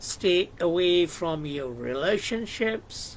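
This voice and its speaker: A man speaks very slowly in a high voice with a Bengali accent. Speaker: YouTuber discussing psychology and philosophy. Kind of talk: reflective monologue. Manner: halting, many fillers.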